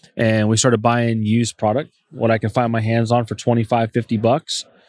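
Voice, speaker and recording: An ordinary speaking voice at a moderate pace, dry and close with no echo, over a quiet background. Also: man. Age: 30s. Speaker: appliance store and HVAC business owner. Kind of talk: interview. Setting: convention.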